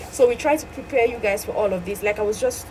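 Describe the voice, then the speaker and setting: Amid noticeable background noise, a woman speaks at a high pitch. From Cameroon. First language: French. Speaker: medical laboratory scientist and exam coach. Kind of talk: tutorial. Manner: fast.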